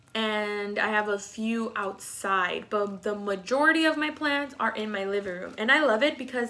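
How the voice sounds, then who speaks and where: With an American accent, a woman speaks at a moderate pace with ordinary pitch variation. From Texas. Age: 20s. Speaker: plant hobbyist vlogger. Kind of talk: casual vlog tutorial. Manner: hesitant, many fillers.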